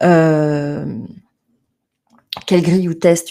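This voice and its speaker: A woman speaks at a fairly low pitch with a dark, mellow tone. Her pitch varies in an ordinary way. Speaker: management trainer. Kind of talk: webinar presentation. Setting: online webinar.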